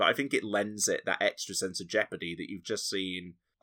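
In a Yorkshire accent, a man speaks at a fairly quick pace with a fairly low pitch. The recording is very clean, with a silent background. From Yorkshire, northern England. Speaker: podcaster. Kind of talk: casual chat.

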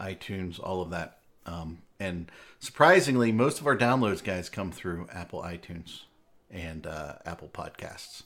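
A man's very deep, low voice at a fairly slow pace, with big swings in loudness and ordinary pitch variation. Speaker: live stream host. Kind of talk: casual live stream banter. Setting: live Twitch stream, online call.

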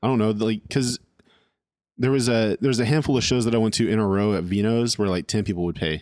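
In a plain, everyday voice with an American accent, the speaker moves at a fairly quick pace with fairly even intonation and very even loudness, on a very clean recording with a silent background. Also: man. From California. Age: 30s. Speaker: drummer. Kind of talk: casual chat. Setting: home recording.

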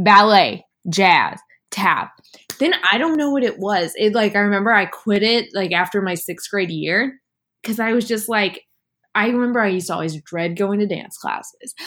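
This is a woman with an ordinary speaking voice at medium pitch. She speaks at a moderate pace with ordinary pitch variation. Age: 20s. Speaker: podcast guest, host's best friend. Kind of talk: casual chat.

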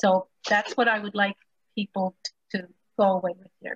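Somewhat breathy, a woman with a Spanish accent speaks in a dry, close sound with no echo. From Puerto Rico. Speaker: attorney and civil liberties leader. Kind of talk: panel discussion. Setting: video call.

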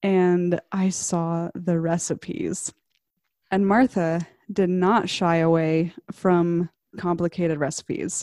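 Very slow, fairly low-pitched woman's voice with an American accent, dark mellow tone, very even loudness and fairly even intonation, dry close sound with no echo in a very clean recording with a silent background. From US South, Arkansas. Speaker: web designer and expat. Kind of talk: casual chat.

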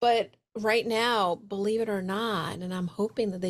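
A woman speaks with an American accent at a medium pitch. It is a normal speaking voice with ordinary pitch variation. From New York City (Brooklyn). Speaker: business coach and speaker. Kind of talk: casual interview chat.

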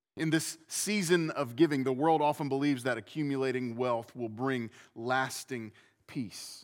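On a very clean recording with a silent background, a man talks at a moderate pace at medium pitch with ordinary pitch variation, in an ordinary speaking voice. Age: 40s. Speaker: pastor. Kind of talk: sermon. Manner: repetitive false starts.

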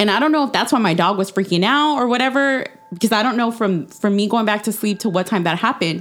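Very fast delivery with ordinary pitch variation and very even loudness, over noticeable background noise. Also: woman, fairly high pitch for a woman. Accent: American. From Texas. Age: 30s. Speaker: podcast guest. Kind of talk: casual chat, telling personal ghost stories.

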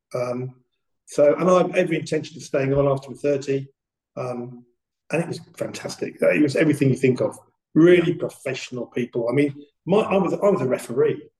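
A fairly high-pitched male voice, dark and mellow in tone, somewhat breathy. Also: ordinary pitch variation, fairly quick pace. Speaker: retired detective and police trainer. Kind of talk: casual interview. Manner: halting.

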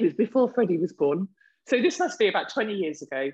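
The speech moves at a fairly quick pace in a southern English accent. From southern England (Reading). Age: 40s. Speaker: podcast co-host. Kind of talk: casual chat. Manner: animated.

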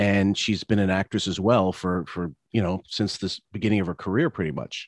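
A man talks in an ordinary speaking voice at a fairly low pitch and a fairly quick pace. The sound is dry and close with no echo, over a quiet background. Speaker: podcast host. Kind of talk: casual commentary podcast chat. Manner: casual, profane, chatty.

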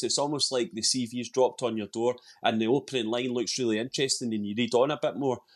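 Over a quiet background, a man with a Scottish accent talks at a very fast pace, his pitch medium with ordinary variation. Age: 40s. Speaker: football fan commentator. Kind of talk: casual chat.

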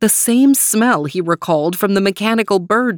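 The speaker is reading aloud. The delivery comes in a natural voice.

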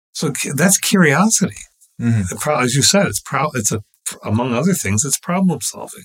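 Moving at a moderate pace, a man's voice makes very wide pitch swings. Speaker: professor of English and philosophy. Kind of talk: casual discussion. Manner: halting, repeats words.

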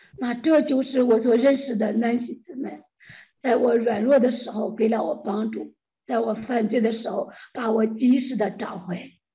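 An unremarkable speaking voice from a woman, fairly high in pitch, with fairly even intonation at a moderate pace. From China. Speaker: church member sharing testimony. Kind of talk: testimony.

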